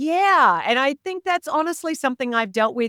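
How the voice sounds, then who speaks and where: A woman with an Australian accent speaks at a moderate pace in a bright, sharp tone. The recording is very clean and dry, close-sounding with no echo and a silent background. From rural Australia. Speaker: leadership coach and author. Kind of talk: interview podcast.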